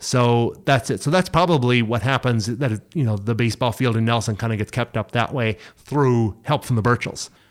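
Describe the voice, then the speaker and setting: A man with a New Brunswick accent at medium pitch, moderate pace and hardly any pauses, ordinary pitch variation, on a very clean recording with a silent background. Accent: Atlantic Canadian (New Brunswick). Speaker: heritage site director. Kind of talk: casual chat.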